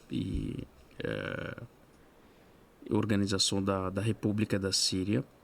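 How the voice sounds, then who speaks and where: Very slowly and in a flat monotone, a man speaks at a fairly low pitch. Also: long, frequent pauses. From Syria, Aleppo. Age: 30s. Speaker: refugee guest speaker. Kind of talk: podcast interview. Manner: hesitant, many filler sounds.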